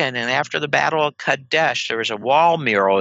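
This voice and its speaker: At a moderate pace, a man speaks with a dry sound that has no echo. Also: quiet background. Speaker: guest. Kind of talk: interview answer. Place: home room. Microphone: headset.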